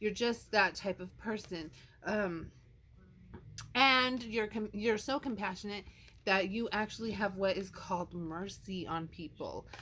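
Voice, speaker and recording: A loud woman at medium pitch, bright and sharp in tone, at a fairly slow pace with ordinary pitch variation. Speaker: tarot card reader. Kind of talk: tarot card reading.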